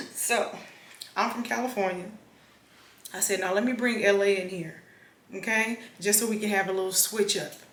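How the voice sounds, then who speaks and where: A woman with an American accent, fairly even intonation and long, frequent pauses, amid noticeable background noise and audible room echo. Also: medium pitch for a woman, moderate pace. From Los Angeles, South Central. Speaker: vlogger. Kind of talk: casual vlog chat.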